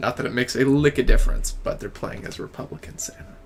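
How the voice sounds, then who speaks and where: A man with a slight Southern US accent and a relaxed tone speaks at a fairly quick pace over noticeable background noise. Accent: slight Southern US accent, pin-pen merger. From Memphis, Tennessee. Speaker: game streamer. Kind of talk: casual live stream chat. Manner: relaxed, casual with fillers.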